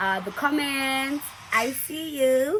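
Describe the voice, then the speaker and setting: On a very clean recording with a silent background, a woman sounds animated, her tone bright and sharp with ordinary pitch variation. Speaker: YouTuber. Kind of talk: casual vlog talk. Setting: indoors with window open, lights.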